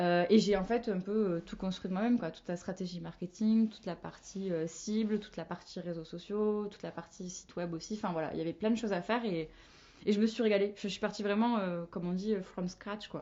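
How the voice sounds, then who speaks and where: At a fairly quick pace, a woman with a plain, everyday voice speaks in a medium pitch with fairly even intonation. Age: 20s. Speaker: marketing manager. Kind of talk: podcast interview.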